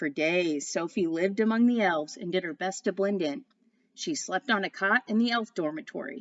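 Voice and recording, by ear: The voice sounds natural. Text is being read aloud.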